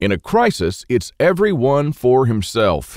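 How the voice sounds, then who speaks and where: This man speaks at a medium pitch with an American accent. His pitch swings very widely, and the recording is very clean with a silent background. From Texas. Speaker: survival author. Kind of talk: sales pitch.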